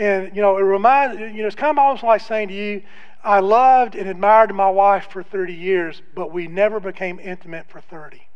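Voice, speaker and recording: Audible room echo surrounds a man speaking fairly quickly in a high-pitched voice. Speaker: guest preacher. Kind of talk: sermon. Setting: church. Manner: subdued, less loud than usual.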